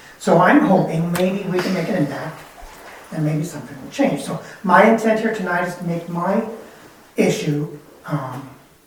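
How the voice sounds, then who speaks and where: Over noticeable background noise and audible room echo, the speech goes at a moderate pace with ordinary pitch variation and long, frequent pauses. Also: man, high pitch for a man. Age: 70s. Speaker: resident addressing city council. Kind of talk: public comment at council meeting. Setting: council chambers. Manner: halting.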